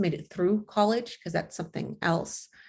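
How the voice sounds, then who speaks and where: On a very clean recording with a silent background, a woman with vocal fry talks at a moderate pace with ordinary pitch variation. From Los Angeles, US. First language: not English. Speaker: college resource counselor. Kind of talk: panel presentation.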